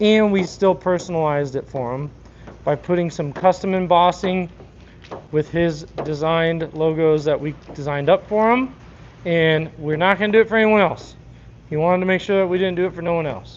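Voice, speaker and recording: With a high pitch and ordinary pitch variation, a man talks at a fairly quick pace. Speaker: car wrap installer streaming live. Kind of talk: live stream chat while working. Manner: mumbling at times.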